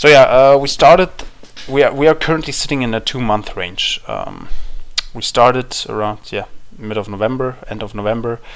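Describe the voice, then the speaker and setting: With a German accent, the speaker keeps a moderate pace and ordinary pitch variation while the loudness swings widely. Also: man, medium pitch for a man. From Germany. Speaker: crypto trader sharing market analysis. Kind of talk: market analysis talk. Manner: halting, many fillers and restarts.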